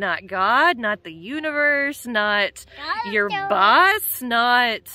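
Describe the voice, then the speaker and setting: Very slow speech from a woman at a high pitch, over light background noise. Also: dry sound with no echo. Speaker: travel vlogger mom. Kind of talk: casual vlog chat. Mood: cheerful, storytelling. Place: beach. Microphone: phone near.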